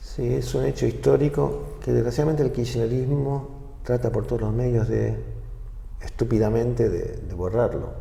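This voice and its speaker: A man talks at a moderate pace, with audible room echo and noticeable background noise. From Argentina. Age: 60s. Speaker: former government official. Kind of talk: interview. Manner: halting.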